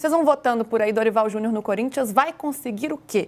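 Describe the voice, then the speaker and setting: A woman speaks with a Minas Gerais accent. Her pitch is high and her pace fairly quick. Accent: Minas Gerais Brazilian. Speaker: sports show host. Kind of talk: sports talk show.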